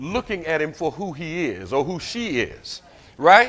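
An animated tone with an American accent. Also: man. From US South. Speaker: pastor. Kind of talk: sermon. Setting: church. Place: church.

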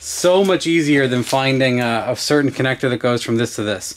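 This is a man speaking. He keeps a moderate pace. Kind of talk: casual build vlog explanation. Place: garage. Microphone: camera far.

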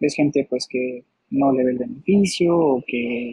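A dark, mellow, somewhat breathy tone. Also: man. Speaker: guest. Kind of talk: interview answer. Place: home room. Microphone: video call.

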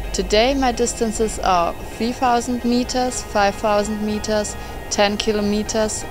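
With music in the background, the speaker talks at a fairly slow pace in a German accent. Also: woman. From Stuttgart, Germany. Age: 20s. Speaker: runner, scholarship applicant. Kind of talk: scholarship application video narration. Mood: friendly, earnest. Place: garden.

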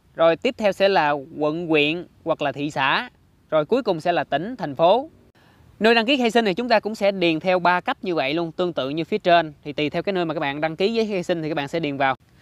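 The very fast speech comes through on a very clean recording with a silent background. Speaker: tech video creator. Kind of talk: tutorial. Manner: explanatory, friendly.

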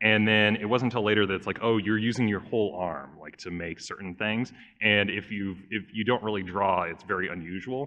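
An unremarkable speaking voice with an American accent, fairly quick and with hardly any pauses, the intonation fairly even. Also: man, fairly low pitch for a man. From Southern California. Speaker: YouTube animator and game master. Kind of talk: convention panel talk. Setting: stage with audience.

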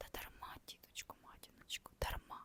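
Whispering, a woman is heard in dry, close sound with no echo. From Ukraine. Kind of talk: ASMR reading of a classic novella. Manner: whispered.

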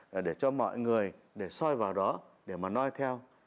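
Speaking at a fairly slow pace, a man holds a medium pitch. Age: 40s. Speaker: folk singer; interviewee. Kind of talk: interview. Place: home room.

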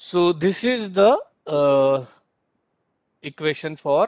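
A man speaks with an Indian accent and lively intonation. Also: dry, close sound with no echo. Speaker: university lecturer. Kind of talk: lecture. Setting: online class. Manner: halting.

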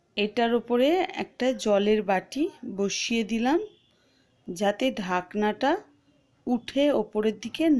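A woman's voice with ordinary pitch variation, very even loudness and a quiet background. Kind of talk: tutorial. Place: kitchen. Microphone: phone near.

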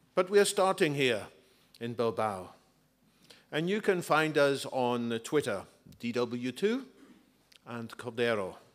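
Against a quiet background, a man talks at a very slow pace with long, frequent pauses and very wide pitch swings. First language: English (speaking Spanish). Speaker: author and futurist. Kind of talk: book presentation talk. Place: hall. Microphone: podium.

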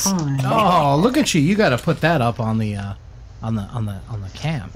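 Light background noise sits behind a man with a fairly high pitch. He moves at a fairly slow pace with very wide pitch swings. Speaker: livestream co-host reading chat. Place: home room. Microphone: studio mic.

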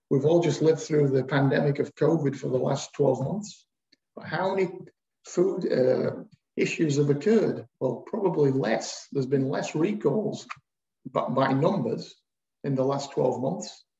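A man's dark, mellow, somewhat breathy voice at a fairly slow pace, with ordinary pitch variation and audible room echo. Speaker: webinar moderator. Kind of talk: webinar moderating. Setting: video call. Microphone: video call.

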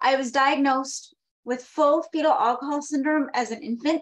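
Against a quiet background, a woman with a high pitch speaks at a moderate pace with fairly even intonation. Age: 30s. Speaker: advocate for people with fetal alcohol disorders; conference presenter. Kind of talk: prepared talk read from notes. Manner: reading from notes. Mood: earnest, personal. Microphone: webcam.

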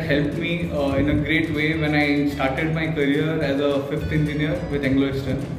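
A man at a moderate pace, with audible room echo and clear music in the background. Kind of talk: testimonial. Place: office. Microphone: camera far.

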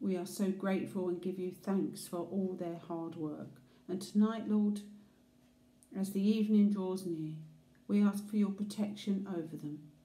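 There is audible room echo as a woman talks at a moderate pace. Her intonation stays fairly even. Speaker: prayer leader. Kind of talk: fervent intercessory prayer. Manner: earnest, reverent; warm, heartfelt pleading. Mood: calm, earnest, prayerful. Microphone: phone near.

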